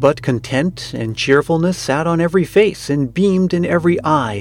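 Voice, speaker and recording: With music playing in the background, a man talks at a moderate pace using lively intonation. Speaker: podcast host reading aloud. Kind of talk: ghost story reading, eerie spooky storytelling.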